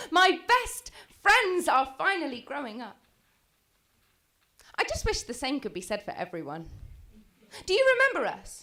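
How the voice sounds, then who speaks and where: Raised and projected, a woman's extremely high-pitched voice moves at a moderate pace with very wide pitch swings, big swings in loudness and long, frequent pauses. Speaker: spoken word poet. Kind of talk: slam poetry performance.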